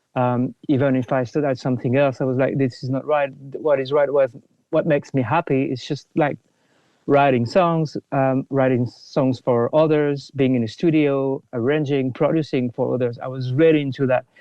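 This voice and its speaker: A man with a French accent at a moderate pace, intonation fairly even. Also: medium pitch for a man. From France, near Paris. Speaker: film composer. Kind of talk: podcast interview. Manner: halting, many fillers and restarts.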